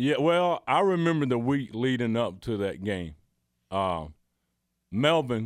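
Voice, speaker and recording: A man talks at a fairly slow pace in a medium pitch, his voice swinging very widely up and down. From US South, Georgia. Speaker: former college basketball player. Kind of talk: casual chat.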